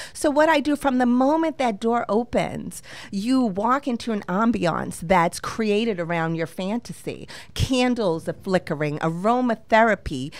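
With a Boston accent, a woman at a fairly high pitch speaks at a moderate pace with lively intonation. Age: 50s. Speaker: luxury romance concierge. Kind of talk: casual interview. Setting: studio. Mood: warm, promotional. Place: studio. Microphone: studio mic.

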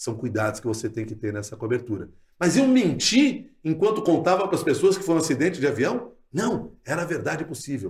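Speaking at a fairly quick pace, a man uses a fairly high pitch with very wide swings and vocal fry. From southern Brazil, Porto Alegre. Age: 50s. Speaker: radio journalist and news anchor. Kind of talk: casual interview.

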